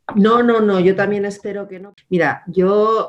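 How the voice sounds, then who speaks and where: A woman with a German accent at a fairly slow pace. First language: German (speaking Spanish). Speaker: politician. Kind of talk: interview.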